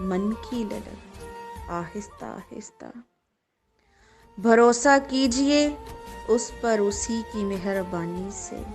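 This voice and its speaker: Music is playing behind the voice. The speaker is a woman. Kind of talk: poetry reading.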